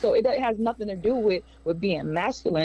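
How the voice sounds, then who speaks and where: Speaking fairly quickly, a woman has an unremarkable speaking voice with ordinary pitch variation. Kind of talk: stand-up comedy, crude jokes and relationship bits. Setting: stage with audience.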